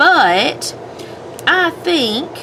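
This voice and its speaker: A woman speaks in an American accent. Noticeable background noise can be heard. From US South. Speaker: homemaking and planner vlogger. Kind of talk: casual chat while crafting. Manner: rambling, hesitant.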